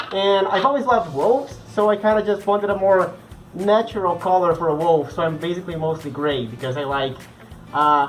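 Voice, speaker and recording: Over music in the background, a man with a high pitch speaks at a fairly quick pace with lively intonation. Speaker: furry vlogger. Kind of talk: casual Q&A vlog. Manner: animated.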